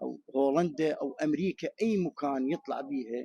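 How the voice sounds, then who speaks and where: A man talks at a moderate pace with a fairly high pitch and a dark, mellow tone. The recording is dry and close with no echo. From Iraq. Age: 60s. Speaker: returning expatriate interviewed in the street. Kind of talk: street interview.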